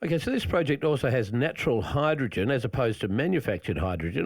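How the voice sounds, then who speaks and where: A man's very fast speech with vocal fry and very wide pitch swings. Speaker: radio host. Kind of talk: radio interview. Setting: radio studio.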